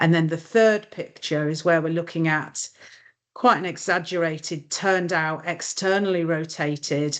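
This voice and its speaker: A woman with an ordinary speaking voice talks at a moderate pace and a fairly low pitch, with fairly even intonation and a quiet background. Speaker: occupational therapist trainer. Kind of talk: webinar lecture. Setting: online webinar.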